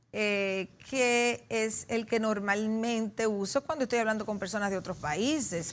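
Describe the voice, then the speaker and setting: The speech moves at a fairly slow pace with hardly any pauses. Pitch variation is ordinary. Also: woman, fairly high pitch for a woman. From Dominican Republic, Santiago (Cibao). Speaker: sociologist and political scientist. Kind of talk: TV interview.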